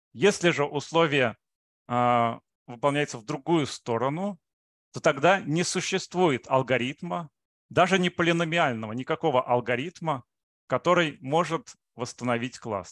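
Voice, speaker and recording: A man's fairly slow, lively-toned speech, dry with no echo over a quiet background. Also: fairly high pitch for a man. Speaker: mathematics researcher. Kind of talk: lecture. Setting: video call. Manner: halting, with frequent filler sounds. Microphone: video call.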